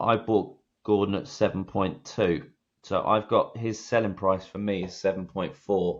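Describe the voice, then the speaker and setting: Against a quiet background, a man uses a plain, everyday voice, fairly low in pitch, with fairly even intonation and a fairly slow pace. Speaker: fantasy football podcast co-host. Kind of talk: casual chat.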